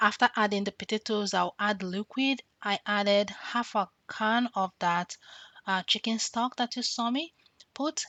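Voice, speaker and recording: A woman with a Nigerian accent speaks at a fairly slow pace. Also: medium pitch for a woman, ordinary pitch variation. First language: Nigerian language. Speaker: cooking vlogger. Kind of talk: tutorial.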